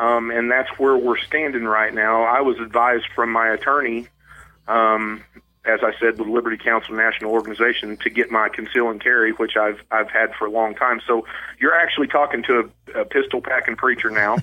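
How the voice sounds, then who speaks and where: A man with an Ozark accent speaks at a fairly quick pace and medium pitch. His intonation is monotone and flat, and his loudness stays very even. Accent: Ozark Southern US. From southwest Missouri, Ozarks. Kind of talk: casual interview.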